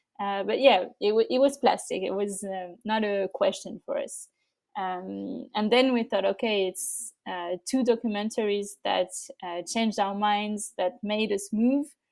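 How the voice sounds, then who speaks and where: In a French accent, a woman talks fairly slowly at a fairly high pitch with ordinary pitch variation, on a very clean recording with a silent background. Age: young. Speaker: nonprofit co-founder. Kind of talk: interview. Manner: halting, many fillers.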